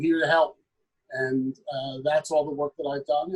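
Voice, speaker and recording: A man with a fairly high pitch speaks with monotone, flat intonation. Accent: American. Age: 50s. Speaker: state legislator. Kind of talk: panel discussion.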